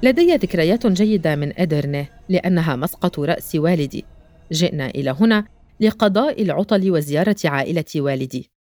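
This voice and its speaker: A woman with an ordinary speaking voice talks at a fairly slow pace in a fairly low pitch, her intonation lively. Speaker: photojournalist narrator. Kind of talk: scripted narration.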